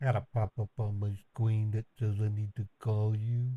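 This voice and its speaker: A man mumbles in a put-on character voice with a fairly low pitch. His intonation stays monotone and flat at a moderate pace. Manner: silly, mumbling.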